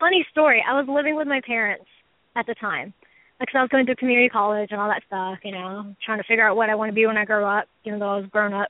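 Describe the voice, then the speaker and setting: A very fast pace with a Texan accent and ordinary pitch variation. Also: woman, fairly high pitch for a woman. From Texas, Houston. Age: 20s. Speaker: hobbyist snake breeder. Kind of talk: interview.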